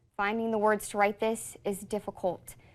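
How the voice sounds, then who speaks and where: A normal speaking voice. The recording is very clean, with a silent background. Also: woman. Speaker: TV news anchor. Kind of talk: TV news read. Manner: serious, measured.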